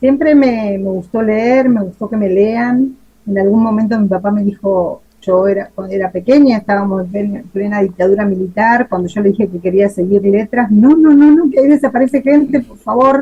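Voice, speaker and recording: At a moderate pace and with hardly any pauses, a woman speaks in a fairly high, somewhat breathy voice with ordinary pitch variation. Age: 50s. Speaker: writer. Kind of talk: interview answers.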